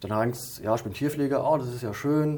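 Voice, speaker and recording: Talking very fast with a Hessian accent, a man has a dark, mellow tone and ordinary pitch variation. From Hesse, Limburg-Weilburg area. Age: 30s. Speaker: animal caretaker. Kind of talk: interview.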